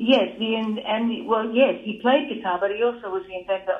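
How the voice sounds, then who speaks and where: In an Australian accent, a woman talks at a moderate pace with a fairly high pitch and ordinary pitch variation. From Australia, Newcastle NSW. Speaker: jazz musician. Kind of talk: interview.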